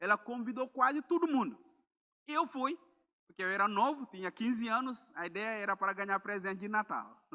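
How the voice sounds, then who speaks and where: At a fairly quick pace, a man talks in a raised, projected voice, high in pitch with a bright, sharp tone. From Gambia. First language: Mandinka or another Gambian language (speaking Portuguese). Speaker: missionary preacher. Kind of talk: sermon. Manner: halting, with repeated words.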